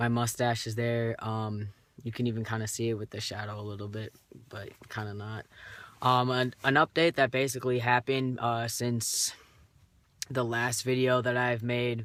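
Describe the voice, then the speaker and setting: The recording is very clean, with a silent background. A man talks at a moderate pace and medium pitch with monotone, flat intonation. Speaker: vlogger documenting gender transition. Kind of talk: casual video diary. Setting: in a car. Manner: hesitant, many fillers.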